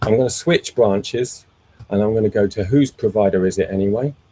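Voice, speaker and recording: This man has a dark, mellow, somewhat breathy tone at a fairly low pitch with ordinary pitch variation. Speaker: meetup host and tech presenter. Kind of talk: technical presentation with Q&A. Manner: slow; frequent fillers and repetitions.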